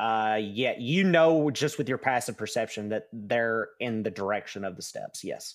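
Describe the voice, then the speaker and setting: Recorded very cleanly against a silent background, a man speaks in an unremarkable speaking voice at medium pitch with ordinary pitch variation. He keeps a moderate pace with hardly any pauses. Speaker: dungeon master. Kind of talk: tabletop roleplaying game narration.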